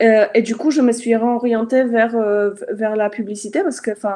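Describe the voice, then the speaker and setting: Fairly even intonation from a woman, pitched fairly high, at a moderate pace. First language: not French (speaking French). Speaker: Facebook ads consultant. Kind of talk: live interview. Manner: halting, many fillers.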